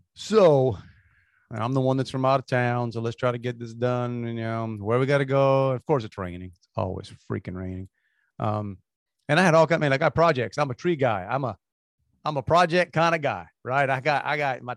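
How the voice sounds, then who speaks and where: A man with a South Louisiana accent and a medium pitch speaks at a fairly quick pace with ordinary pitch variation. The sound is dry and close with no echo, and the background is quiet. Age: 50s. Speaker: podcast co-host. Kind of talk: casual chat. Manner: halting.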